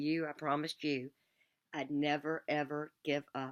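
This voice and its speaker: Very deep, low woman's voice at a moderate pace, monotone and flat, dry and close with no echo, on a very clean recording with a silent background. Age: 60s. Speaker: survivor fan vlogger. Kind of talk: spoken tribute addressed to the deceased. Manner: emotional, heartfelt.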